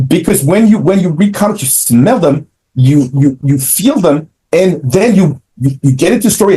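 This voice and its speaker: A man with a French accent, high-pitched and dark, mellow in tone, at a moderate pace with very wide pitch swings. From France (Paris). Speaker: comic book creator and publisher. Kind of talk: interview.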